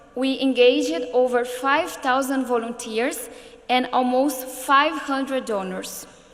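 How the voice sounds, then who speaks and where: A woman's high voice at a fairly slow pace, with fairly even intonation and noticeable background noise. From Brazil, São Paulo. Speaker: politician and education activist. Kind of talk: prepared speech.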